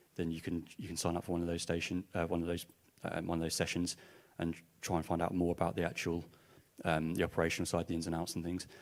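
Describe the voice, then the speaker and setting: Mumbling at a very fast pace, a man with an Essex accent speaks in a very deep, low pitch with monotone, flat intonation. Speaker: music industry organisation representative. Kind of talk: panel discussion.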